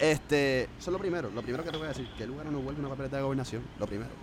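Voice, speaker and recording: A man speaks very fast with a Puerto Rican accent and fairly high pitch. His pitch variation is ordinary, and background noise is noticeable. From San Juan, Puerto Rico. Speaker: podcast co-host. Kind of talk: casual political discussion.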